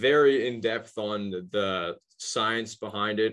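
A man at medium pitch with fairly even intonation, an unremarkable speaking voice, over a quiet background. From Halifax, Nova Scotia, Canada. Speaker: podcast host. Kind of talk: casual interview conversation.

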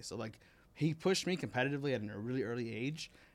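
In an American accent, a man talks at a fairly quick pace with lively intonation and a normal speaking voice, on a very clean recording with a silent background. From Miami, Florida. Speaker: competitive gamer and coach. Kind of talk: casual chat. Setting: studio.

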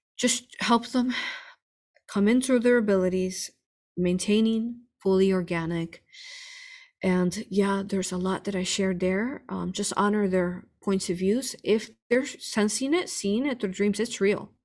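An ordinary speaking voice goes at a fairly slow pace with ordinary pitch variation. The recording is very clean, with a silent background. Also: woman, medium pitch for a woman. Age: 40s. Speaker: spiritual healer and hypnosis teacher. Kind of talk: interview answering viewer questions.

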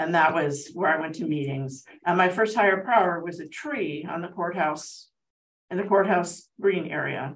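A woman with an American accent talks at a moderate pace in a fairly low pitch, her loudness swinging widely. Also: ordinary pitch variation. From Southern California, Altadena. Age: 60s. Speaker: twelve-step meeting speaker. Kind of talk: testimony. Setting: support group meeting with audience. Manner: halting.

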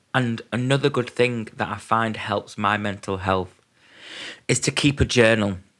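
In a normal speaking voice, a man at medium pitch talks at a fairly slow pace with fairly even intonation, on a very clean recording with a silent background. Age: 20s. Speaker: mental health podcaster. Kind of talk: personal monologue.

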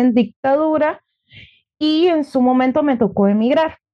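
Speaking fairly slowly, a woman uses a high pitch with ordinary pitch variation. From Venezuela, Margarita Island. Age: 30s. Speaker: entrepreneur and former lawyer. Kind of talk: interview.

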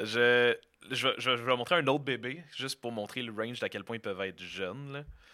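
A man speaks at a fairly quick pace in a Quebec accent, his medium-pitched voice bright and sharp with ordinary pitch variation. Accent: Québécois French. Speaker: podcast guest. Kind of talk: casual chat.

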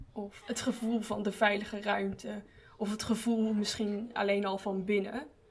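Amid noticeable background noise, a woman speaks at a fairly slow pace in a medium pitch with flat, monotone intonation. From Breda. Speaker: art student and podcast hostess. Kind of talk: casual chat.

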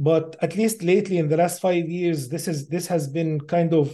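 With an Arabic accent, a man speaks at a moderate pace in a high pitch. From Middle East. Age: 50s. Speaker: AI researcher. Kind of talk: interview.

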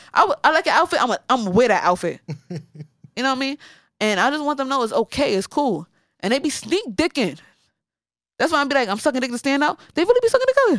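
A woman with an American accent talks very fast in a high, animated voice with very wide pitch swings and long, frequent pauses, recorded very cleanly against a silent background with a dry, close sound and no echo. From New York, Bronx. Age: 30s. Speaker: stand-up comedian. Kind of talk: casual chat.

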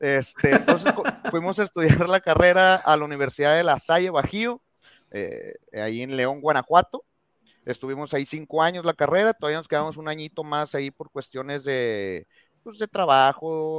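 An ordinary speaking voice from a man, fairly high in pitch, with lively intonation, big swings in loudness and a moderate pace, in a dry, close sound with no echo and a very clean recording over a silent background. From Mexico. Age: 30s. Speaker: veterinarian and dog trainer. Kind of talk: casual interview chat.

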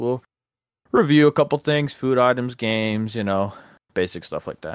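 An unremarkable speaking voice with an American accent and lively intonation comes through in a very clean recording with a silent background, the sound dry and close with no echo. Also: man. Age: 20s. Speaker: podcast co-host and water treatment operator. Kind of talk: casual chat.

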